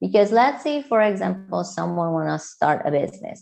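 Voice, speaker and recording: With a Hungarian accent, the voice has a dark, mellow tone and moves at a moderate pace. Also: woman. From Hungary. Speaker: entrepreneur and coach. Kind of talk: podcast interview.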